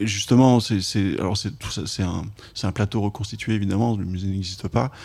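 A man's voice has a dark, mellow tone and fairly low pitch at a moderate pace. The recording is very clean, the background silent. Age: 40s. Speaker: film journalist and documentary director. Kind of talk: casual interview chat about film. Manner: halting, many hesitations and repetitions.

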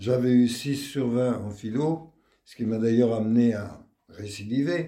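A man's very slow delivery, dark and mellow in tone, at a medium pitch with ordinary pitch variation. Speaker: retired teacher. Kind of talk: testimony interview.

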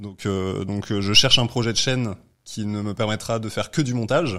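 A man talks in a medium pitch with ordinary pitch variation. The recording is very clean, and the background is silent. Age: 20s. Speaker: entrepreneur. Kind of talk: casual chat.

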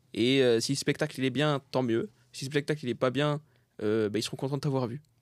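Speaking at a moderate pace, a man uses an unremarkable speaking voice with medium pitch and ordinary pitch variation. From France, Saint-Denis (Paris suburbs). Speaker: comedian. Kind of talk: casual chat.

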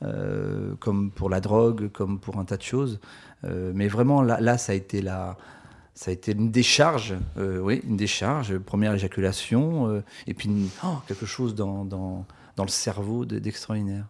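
A man with a fairly low voice speaks at a fairly slow pace, his pitch rising and falling in an ordinary way. The recording is very clean, with a silent background. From rural France. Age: 50s. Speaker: author. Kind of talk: casual interview. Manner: halting, many repetitions.

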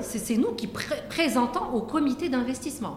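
There is audible room echo around a woman's voice. Noticeable background noise is also present. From Morocco, Casablanca. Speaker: venture capital fund executive. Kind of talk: interview conversation. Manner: hesitant with many fillers.

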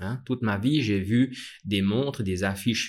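In a very clean recording with a silent background, a man speaks very slowly with a fairly low pitch and ordinary pitch variation. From Switzerland, Vallée de Joux (Vaud). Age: 40s. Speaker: watchmaker and brand founder. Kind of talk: interview. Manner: halting, many fillers.

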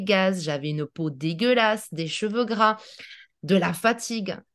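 A woman with a normal speaking voice talks at a fairly slow pace and medium pitch with lively intonation, against a quiet background. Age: 40s. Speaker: naturopath. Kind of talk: interview.

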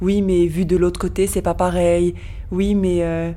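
A woman with a dark, mellow tone and a medium pitch speaks at a moderate pace in a monotone, flat intonation. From France. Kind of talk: interview.

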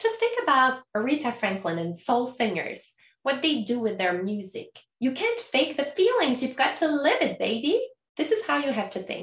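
In a Quebec accent, a woman speaks at a moderate pace with a high pitch and very wide pitch swings. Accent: Canadian French-accented English. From Canada. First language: French. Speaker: podcast host and language school founder. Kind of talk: scripted educational podcast talk.

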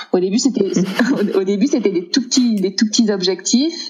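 Noticeable background noise runs behind this recording. A woman speaks at a moderate pace. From southern France, Aix-en-Provence. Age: 30s. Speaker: entrepreneur, single mother. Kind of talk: casual chat. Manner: halting, many repetitions.

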